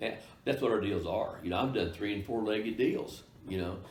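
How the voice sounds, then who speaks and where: A somewhat breathy voice with ordinary pitch variation and audible room echo. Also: man. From Kansas. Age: 70s. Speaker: real estate broker. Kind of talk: interview. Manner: halting, many fillers.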